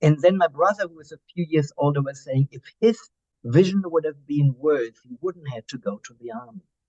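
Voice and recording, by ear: A man's fairly high, slightly mellow voice with a German accent, fairly quick pace and ordinary pitch variation, in a dry, close sound with no echo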